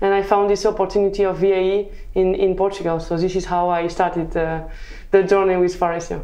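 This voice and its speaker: Someone with a French accent speaks very fast in a flat monotone, with audible room echo. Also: woman. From southern France. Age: 20s. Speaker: mechanical engineer. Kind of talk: interview. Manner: halting.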